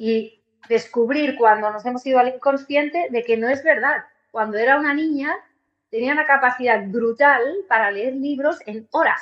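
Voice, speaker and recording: Speaking in a high pitch, a woman keeps ordinary pitch variation and a moderate pace. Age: 40s. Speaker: musician and holistic therapist. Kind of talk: interview conversation.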